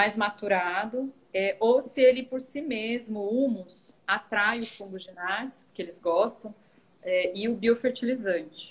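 A woman's fairly high, somewhat breathy voice at a fairly slow pace, with ordinary pitch variation and big swings in loudness. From Goiás, Brazil. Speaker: teacher and composting student; teacher. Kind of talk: live Q&A video chat. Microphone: video call.

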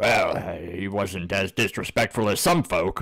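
Putting on a character voice, a man talks at a fairly slow pace with a fairly low pitch. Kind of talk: comic character acting. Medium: actual play. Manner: gruff, grumbling, folksy.

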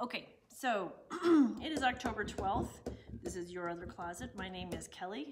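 A woman's animated, lively-intoned speech at a moderate pace, broken by long, frequent pauses, over noticeable background noise. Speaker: shop owner hosting live sales stream. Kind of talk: casual live stream chat. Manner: chatty, animated. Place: shop. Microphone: lapel.

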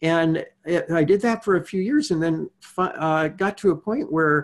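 The voice belongs to a man with a high pitch. His pitch variation is ordinary. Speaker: podcast guest, meditation teacher. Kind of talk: interview answer. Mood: calm, reflective storytelling. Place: home room. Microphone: earbuds.

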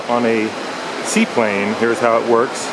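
Noticeable background noise runs under this recording. A man speaks at a moderate pace. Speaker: travel guide vlogger. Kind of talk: tutorial. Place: station. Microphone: phone near.

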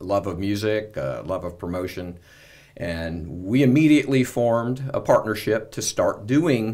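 The man's intonation is lively and his pace moderate, with a quiet background behind him. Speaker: guest. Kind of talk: interview answer. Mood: friendly, upbeat. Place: studio. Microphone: studio mic.

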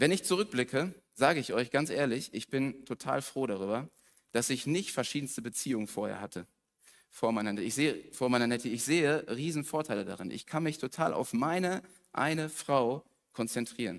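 A man speaks at a fairly quick pace with lively intonation and an animated tone over a quiet background. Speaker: preacher. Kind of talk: sermon. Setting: church. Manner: casual. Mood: personal, candid. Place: church.

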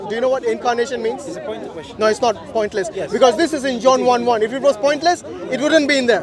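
An extremely high-pitched man's voice at a very fast pace with ordinary pitch variation, dry with no echo, crowd noise in the background. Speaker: street debater. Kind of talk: heated debate argument. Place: open country. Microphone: phone near.

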